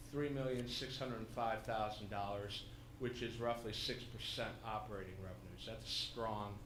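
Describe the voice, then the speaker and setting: A man's medium-pitched voice at a moderate pace, fairly even intonation, and audible room echo. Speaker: independent auditor. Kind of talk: formal report presentation at public meeting. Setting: public commission meeting room. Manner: loud; hesitant, many fillers.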